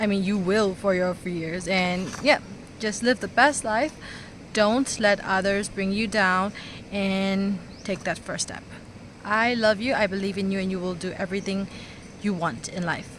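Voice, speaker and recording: Speaking at a fairly slow pace, a woman with a non-native accent keeps her intonation fairly even. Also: medium pitch for a woman. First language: not English. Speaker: vlogger. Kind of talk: motivational talk to camera. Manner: halting, stuttering.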